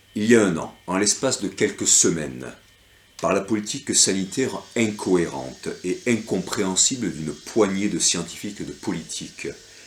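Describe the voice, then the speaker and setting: The voice has vocal fry and lively intonation. It moves at a moderate pace. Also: man, fairly low pitch for a man. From France. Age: 50s. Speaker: local election candidate. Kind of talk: reading aloud a campaign leaflet. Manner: hesitant, many fillers.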